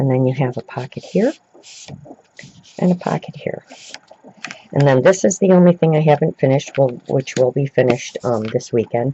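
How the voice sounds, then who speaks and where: A man whispers in a put-on character voice. It is raspy and moves at a moderate pace. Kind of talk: casual show-and-tell tutorial. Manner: whispering.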